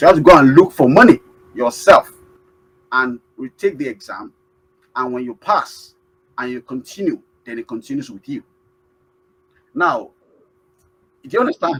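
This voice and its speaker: A man with a Nigerian accent speaks at a fairly high pitch, with very wide pitch swings and big swings in loudness. His long, frequent pauses come through in a dry, close sound with no echo. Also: moderate pace. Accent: Nigerian (Yoruba) English. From Nigeria (Yoruba). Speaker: award-winning immigrant. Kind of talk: interview. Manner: halting, many fillers.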